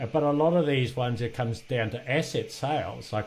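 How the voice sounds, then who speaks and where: A somewhat breathy man talks at a fairly quick pace. His pitch variation is ordinary. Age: 60s. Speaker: podcast host and business exit trainer. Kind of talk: interview conversation. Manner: halting.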